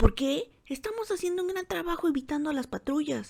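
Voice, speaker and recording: A woman puts on a character voice set at a high pitch. She moves at a fairly quick pace. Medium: read story. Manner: brash, careless, commanding.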